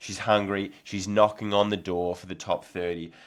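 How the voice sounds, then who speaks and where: Recorded very cleanly against a silent background, a man with an Australian accent speaks at a fairly low pitch with fairly even intonation. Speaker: nordic skiing podcast host and athlete. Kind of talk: casual predictions podcast.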